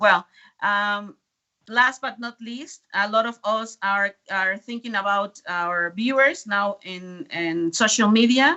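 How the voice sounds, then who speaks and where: A woman talks at a very slow pace with a medium pitch and ordinary pitch variation. Her loudness swings widely. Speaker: presenter for a youth science organisation. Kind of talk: conference presentation. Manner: hesitant.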